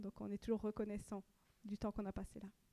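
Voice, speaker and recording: In a slight Swiss French accent, a woman speaks with a dark, mellow tone. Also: dry, close sound with no echo. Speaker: pastor's wife. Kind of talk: church announcements.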